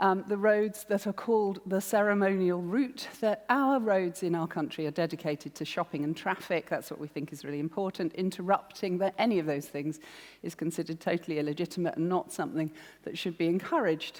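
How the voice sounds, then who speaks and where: A woman with a southern English accent talks at a fairly quick pace with ordinary pitch variation. The recording is very clean, with a silent background. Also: medium pitch for a woman. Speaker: arts producer, festival director. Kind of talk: public talk.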